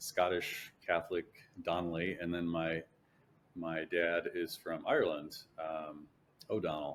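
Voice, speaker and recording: Speaking fairly slowly in a very deep, low voice, a man keeps a monotone, flat intonation and takes long, frequent pauses. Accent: Chicago-area. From US Midwest, Chicago area. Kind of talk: interview testimony; casual interview chat. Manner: halting, many fillers and repeats.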